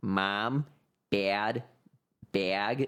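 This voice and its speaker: A man puts on a nasal character voice. It sits fairly low in pitch with fairly even intonation. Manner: demonstrating an accent.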